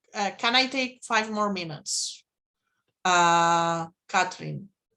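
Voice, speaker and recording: Over a quiet background, a woman talks in a bright, sharp tone with ordinary pitch variation. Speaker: mathematics lecturer. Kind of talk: lecture. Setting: video call. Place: home room.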